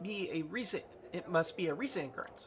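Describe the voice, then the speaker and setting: A put-on character voice at middle pitch moves along at a fairly quick pace over clear background noise. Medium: solo performance.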